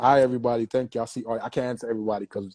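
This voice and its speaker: A man speaks in an American accent, recorded with a dry, close sound with no echo. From New York and Jamaica. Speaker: dancehall DJ. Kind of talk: interview about mental health. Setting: live stream with comments. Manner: casual, street slang.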